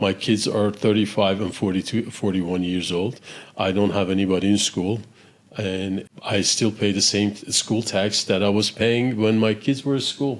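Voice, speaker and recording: A man with a plain, everyday voice speaks at a moderate pace, his fairly low pitch carried by fairly even intonation. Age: 60s. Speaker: real estate investor. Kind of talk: podcast interview.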